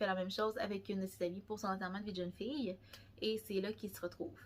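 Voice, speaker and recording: A woman with a Quebec accent speaks at a medium pitch, somewhat breathy, with fairly even intonation. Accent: Québécois French. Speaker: book vlogger. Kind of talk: casual chat. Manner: halting.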